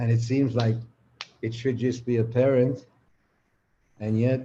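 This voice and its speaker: Speaking fairly slowly at medium pitch, a man has a dark, mellow, somewhat breathy tone, monotone, flat intonation and very even loudness. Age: 80s+. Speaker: spiritual teacher. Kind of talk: live conversation, reflective teaching.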